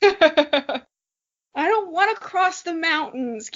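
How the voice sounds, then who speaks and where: A woman puts on a character voice with an extremely high pitch and a whiny tone, speaking at a very slow pace. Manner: whiny, complaining.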